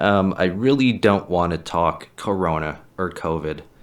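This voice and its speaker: An American accent is heard. The recording is very clean and the background silent. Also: man. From USA. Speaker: podcast host and stand-up comedian. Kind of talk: casual monologue podcast. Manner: casual, profane.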